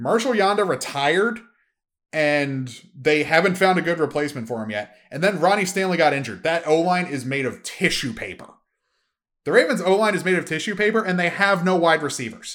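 A man's high voice with lively intonation at a fairly quick pace. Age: 20s. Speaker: solo sports and esports podcast host. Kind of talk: solo podcast monologue. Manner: animated.

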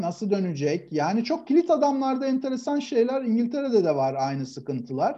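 A man's dark, mellow voice at a moderate pace, with very wide pitch swings. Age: 40s. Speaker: football pundit. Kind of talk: casual chat.

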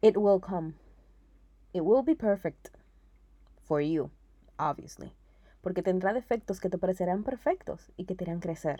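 A woman speaks at a fairly slow pace in a medium pitch with a dark, mellow tone. Her pitch varies in an ordinary way, broken by long, frequent pauses. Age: 20s. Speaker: podcast host, publicist and marketer. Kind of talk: casual personal monologue. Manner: casual Spanglish code-switching.

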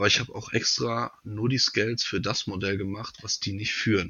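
This man has a normal speaking voice with a fairly low pitch. His speed is moderate and his intonation fairly even. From North Rhine-Westphalia, near Siegen. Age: 30s. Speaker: knife maker. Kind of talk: casual interview.

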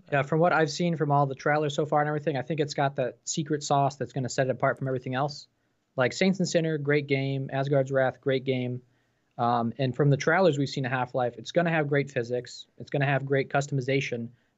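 A man with an American accent at a very fast pace, fairly high in pitch, with fairly even intonation. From New York State. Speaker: VR enthusiast co-host. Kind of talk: casual live stream chat.

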